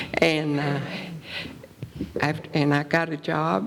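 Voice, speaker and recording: Speaking very slowly in an Appalachian accent, a woman's voice sits very deep and low, with noticeable background noise behind her. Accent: Appalachian Southern US. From East Tennessee. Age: 80s+. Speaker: retired teacher and wartime plant worker. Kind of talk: public interview. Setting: stage with audience.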